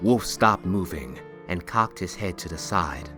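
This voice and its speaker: Music plays in the background as a man speaks at a moderate pace. His very deep, low pitch makes very wide swings. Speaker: voice-over narrator. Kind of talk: fantasy story narration.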